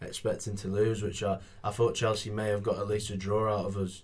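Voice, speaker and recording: A somewhat breathy man talks at a fairly low pitch. His pace is fairly quick and his intonation monotone and flat. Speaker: football podcast co-host. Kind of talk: casual chat.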